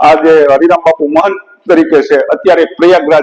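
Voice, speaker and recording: A man is talking. The rise and fall of his pitch is ordinary. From Saurashtra, Gujarat (Junagadh district). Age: 40s. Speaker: village elder and temple local. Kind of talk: oral history storytelling.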